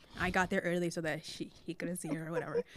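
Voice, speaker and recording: Her intonation monotone and flat, a woman speaks at a very fast pace and a fairly low pitch. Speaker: podcast host. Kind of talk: casual chat. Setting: podcast studio.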